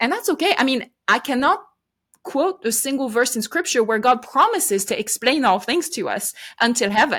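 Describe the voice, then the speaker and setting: In a French accent, a woman with a high pitch and very wide pitch swings talks at a moderate pace on a very clean recording with a silent background. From France. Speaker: podcaster and ministry leader. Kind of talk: interview.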